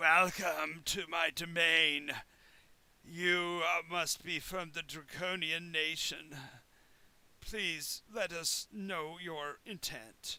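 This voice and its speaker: A man speaks very slowly in a put-on character voice, croaky and guttural. His pitch is high. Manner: croaking, unpleasant.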